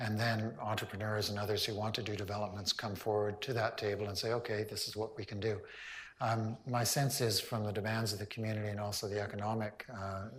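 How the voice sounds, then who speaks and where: Somewhat breathy speech comes at a fairly quick pace against audible room echo. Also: man. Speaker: town hall moderator, local council member. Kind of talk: public town hall meeting.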